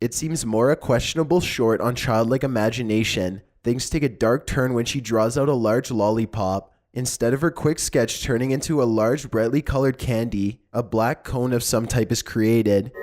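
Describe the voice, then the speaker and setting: A man uses an ordinary speaking voice at medium pitch. His loudness stays very even, with ordinary pitch variation. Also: moderate pace. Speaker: narrator. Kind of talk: horror countdown narration.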